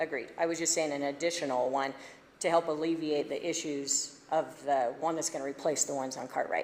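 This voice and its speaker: A woman with a very deep, low pitch talks at a fairly quick pace in a monotone, flat intonation. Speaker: resident giving public comment. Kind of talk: public comment at county meeting. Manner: fast.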